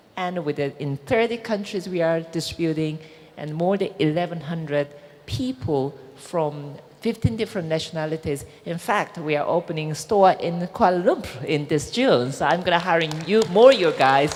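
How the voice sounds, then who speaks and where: A woman with a Korean accent, fairly low in pitch, speaking at a moderate pace with lively intonation over music in the background. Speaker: businesswoman. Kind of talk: panel discussion.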